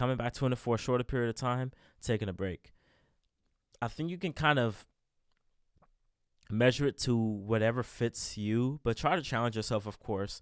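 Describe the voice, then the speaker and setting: At medium pitch and with ordinary pitch variation, a man speaks with long, frequent pauses. The sound is dry and close with no echo, in a very clean recording with a silent background. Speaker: self-improvement podcaster. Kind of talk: casual monologue. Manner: halting, many restarts; fast.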